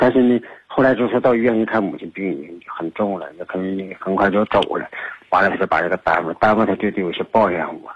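Speaking very fast, a man with a fairly low pitch shows ordinary pitch variation. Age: 60s. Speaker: caller seeking advice. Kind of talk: radio call-in conversation. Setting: phone call. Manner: halting, many fillers.

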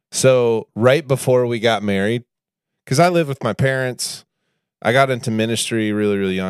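A man with a normal speaking voice talks with ordinary pitch variation in a very clean recording with a silent background. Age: 30s. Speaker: podcast co-host, minister. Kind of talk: casual chat.

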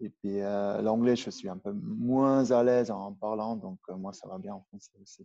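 Speaking at a fairly slow pace with hardly any pauses, a man uses a medium-pitched voice with a dark, mellow tone, lively intonation and big swings in loudness, recorded with a dry, close sound and no echo. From Switzerland, Upper Valais (Brig). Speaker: strength coach, former pro alpine skier. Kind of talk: interview. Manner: halting, many repetitions.

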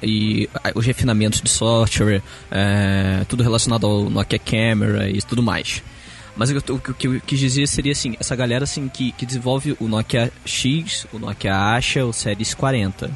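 At a moderate pace and medium pitch, a man talks with ordinary pitch variation over noticeable background noise. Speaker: tech podcast co-host. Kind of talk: casual chat. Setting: recording on a balcony.

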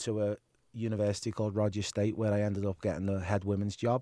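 In a very clean recording with a silent background, a dark, mellow voice speaks in a flat monotone, the sound dry and close with no echo. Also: man. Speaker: soccer coach, former player. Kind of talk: casual interview.

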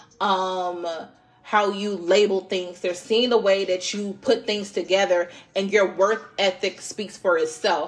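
With fairly even intonation, a woman talks against noticeable background noise. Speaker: tarot reader podcast host. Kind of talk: casual tarot reading monologue. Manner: casual, filler-heavy.

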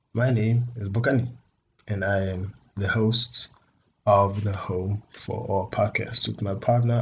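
A man with a Botswana accent speaks at a fairly low pitch and fairly slow pace, somewhat breathy. His intonation is monotone and flat over a quiet background. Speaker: podcast host. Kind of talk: casual solo podcast intro.

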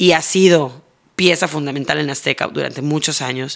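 A woman's voice with vocal fry. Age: 40s. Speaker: TV presenter. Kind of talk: interview.

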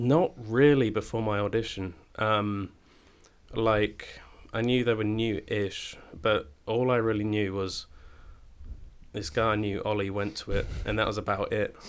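With a southern English accent, a man speaks at a fairly low pitch and a fairly slow pace. His intonation is fairly even, and his pauses are long and frequent. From Cambridge, England. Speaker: drama school student. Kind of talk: casual chat. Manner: hesitant, many fillers.

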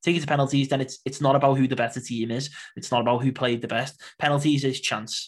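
The speech comes at a very fast pace. The voice is somewhat breathy, with fairly even intonation. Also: man, medium pitch for a man. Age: 20s. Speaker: Portuguese football expert and podcaster. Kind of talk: casual football discussion.

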